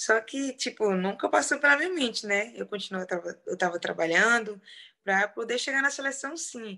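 A woman with a fairly high pitch and a bright, sharp tone, moderate pace, quiet background. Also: lively intonation. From Brazil, rural Piauí. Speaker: professional footballer. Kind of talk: interview.

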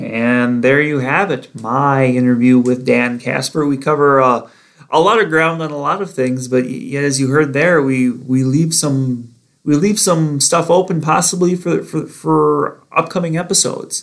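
A man with an American accent and a plain, everyday voice, fairly high in pitch, with ordinary pitch variation at a fairly slow pace. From northern Wisconsin, US Midwest. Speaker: sports editor and podcast host. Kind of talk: casual interview chat; podcast intro and outro.

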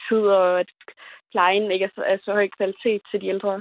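Intonation stays monotone and flat as a woman speaks in a medium-pitched voice. Her pace is moderate. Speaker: young voter calling in. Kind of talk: phone-in call.

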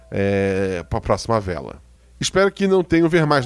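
A man talks at a very fast pace. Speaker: podcast narrator and producer. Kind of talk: reading listener comments. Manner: stumbling over words.

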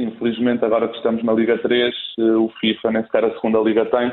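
With noticeable background noise behind him, a man with a Portuguese accent talks at medium pitch and a fairly quick pace. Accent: Portuguese accent despite being Spanish. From Spain, raised in Coimbra, Portugal from age 10. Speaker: bank supervisor. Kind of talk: casual interview.

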